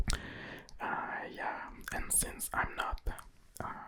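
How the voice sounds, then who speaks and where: A man whispers with a French accent. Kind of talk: ASMR chit-chat. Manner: whispered.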